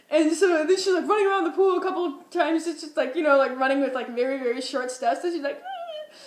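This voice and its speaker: An extremely high-pitched woman's voice with an American accent, animated tone, ordinary pitch variation and a very fast pace. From Minnesota. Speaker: vlogger. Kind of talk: casual storytelling vlog.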